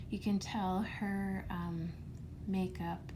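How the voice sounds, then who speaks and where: Soft-spoken and gentle in tone, a woman talks at a very slow pace. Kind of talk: ASMR makeup bag and purge, casual talk to camera. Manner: soft-spoken, gentle.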